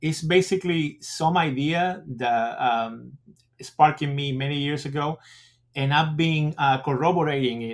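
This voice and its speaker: At a moderate pace, a man with a fairly high pitch and ordinary pitch variation speaks with big swings in loudness. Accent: Spanish. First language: Spanish. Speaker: school principal. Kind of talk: interview. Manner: halting.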